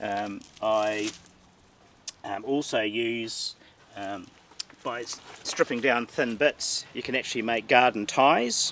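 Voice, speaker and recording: Over noticeable background noise, a man with a southern New Zealand accent speaks at a very slow pace with long, frequent pauses. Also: medium pitch for a man, fairly even intonation. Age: 60s. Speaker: gardener. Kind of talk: guided garden tour. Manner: halting, many fillers.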